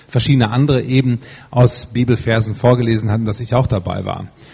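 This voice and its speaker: A man's somewhat breathy voice keeps a fairly even intonation. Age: 50s. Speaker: congregation member. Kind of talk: testimony. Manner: tends to stumble when reading aloud.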